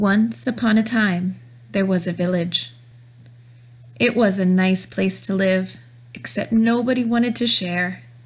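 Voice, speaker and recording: With noticeable background noise behind her, a woman in an animated, playful tone speaks at a fairly slow pace with medium pitch and long, frequent pauses. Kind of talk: children's story narration, puppet show storytelling. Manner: animated, playful storybook delivery.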